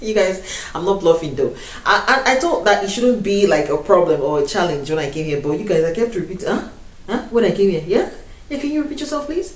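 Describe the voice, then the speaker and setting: Talking very fast with very wide pitch swings and an animated tone, a woman with a Nigerian accent and a medium pitch comes through noticeable background noise and audible room echo. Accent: Nigerian accent retained. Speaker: YouTuber. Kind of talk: casual chat.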